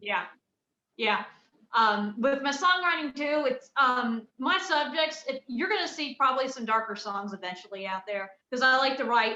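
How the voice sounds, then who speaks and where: Bright and sharp in tone, the raised, projected voice keeps a moderate pace with lively intonation. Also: woman, high pitch for a woman. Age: 20s. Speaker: country music singer-songwriter. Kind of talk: casual chat. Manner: halting.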